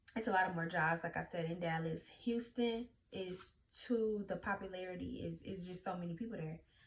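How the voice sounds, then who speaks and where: A somewhat breathy voice with a Louisiana accent, ordinary pitch variation and a moderate pace. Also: woman. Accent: Southern US (Louisiana). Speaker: YouTuber. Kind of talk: casual vlog talk.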